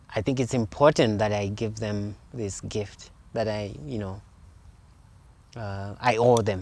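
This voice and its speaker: With a Zimbabwean accent, a man speaks at a fairly slow pace and fairly low pitch, with ordinary pitch variation and long, frequent pauses. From Zimbabwe, rural Eastern Highlands. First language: Shona. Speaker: sculptor. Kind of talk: interview in his studio. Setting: artist's studio. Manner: halting, many fillers.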